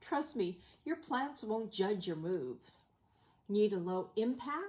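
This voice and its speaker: A woman's somewhat breathy voice, fairly high in pitch, with a dark, mellow tone and a fairly slow pace. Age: 70s. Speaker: health vlogger living with kidney disease. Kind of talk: casual talk to camera.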